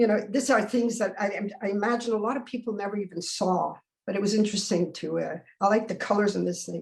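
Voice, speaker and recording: At a very fast pace, a woman talks in a medium pitch. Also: fairly even intonation. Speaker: photographer. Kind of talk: presentation over video call. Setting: video call. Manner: halting.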